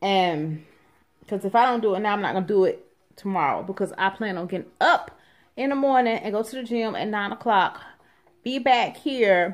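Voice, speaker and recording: A woman speaks at a moderate pace with a medium pitch and ordinary pitch variation. The background is quiet. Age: 30s. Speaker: vlogger and hairstylist; vlogger. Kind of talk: casual vlog talk to camera.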